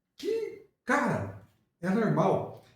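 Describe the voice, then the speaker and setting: In a room with audible echo, a man's voice moves through very wide pitch swings. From Limeira, São Paulo state, Brazil. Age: 60s. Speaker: musician and football fan. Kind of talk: casual chat.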